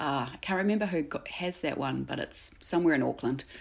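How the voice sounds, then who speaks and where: A woman speaks with a New Zealand accent at a moderate pace. The recording is very clean, with a silent background. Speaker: artist. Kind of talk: casual interview chat.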